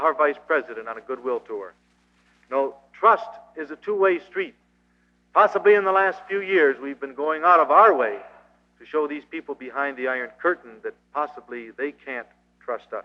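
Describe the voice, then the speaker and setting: A man with an American accent at a moderate pace, lively intonation, big swings in loudness, and long, frequent pauses. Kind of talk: anti-communist seminar speech to a live audience. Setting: live auditorium recording from old reel tape. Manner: earnest, preacher-like lecture delivery.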